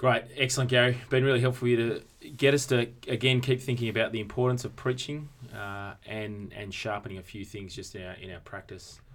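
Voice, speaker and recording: With an Australian accent, a man speaks at a fairly quick pace with hardly any pauses, medium pitch, fairly even intonation and big swings in loudness. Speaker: podcast host and church consultant. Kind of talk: casual conversational podcast discussion.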